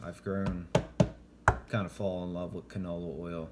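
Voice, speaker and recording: Soft-spoken and very deep in pitch, a man talks with fairly even intonation over noticeable background noise. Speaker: home cooking show host. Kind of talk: cooking tutorial.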